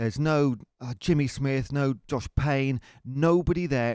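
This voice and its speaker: Ordinary pitch variation shapes a man's medium-pitched voice. The background is silent in this very clean recording. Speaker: football fan podcast co-host. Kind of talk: casual chat. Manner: animated.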